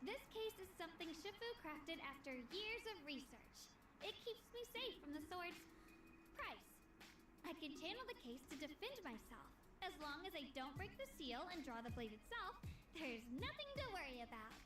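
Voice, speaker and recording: A put-on character voice at an extremely high pitch moves at a moderate pace. Loud background noise runs underneath. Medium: video game.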